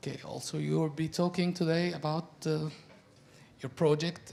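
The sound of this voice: At a moderate pace, a man with a fairly high pitch and a slightly mellow tone talks with fairly even intonation and vocal fry.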